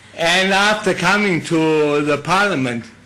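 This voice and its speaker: A man speaks in a Danish accent. His intonation is lively. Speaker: politician, former soldier. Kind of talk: formal speech.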